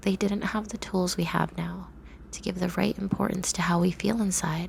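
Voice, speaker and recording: A woman's gentle tone against noticeable background noise. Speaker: ASMR roleplay performer. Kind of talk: ASMR comfort roleplay script reading. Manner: soft-spoken, gentle, reassuring.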